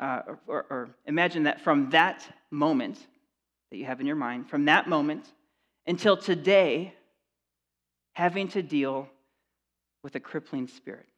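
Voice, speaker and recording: Long, frequent pauses break up speech at a moderate pace over a quiet background. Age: 40s. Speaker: pastor. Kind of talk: sermon.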